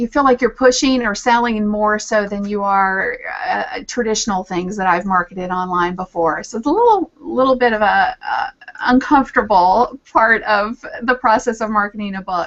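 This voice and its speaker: Over noticeable background noise, a woman with a Southern US accent speaks at a fairly high pitch. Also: ordinary pitch variation, moderate pace. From Virginia, US South. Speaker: social media strategist and author. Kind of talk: casual interview chat. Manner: halting, many fillers.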